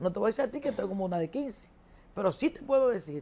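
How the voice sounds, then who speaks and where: A woman is talking. Her voice sits fairly high. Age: 60s. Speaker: economist. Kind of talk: TV interview.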